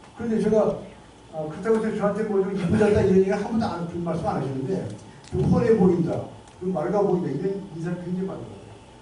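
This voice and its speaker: Speech rushes along at a very fast clip over noticeable background noise. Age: 70s. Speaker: lecturer, lawyer and health campaigner. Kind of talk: lecture. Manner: animated, conversational.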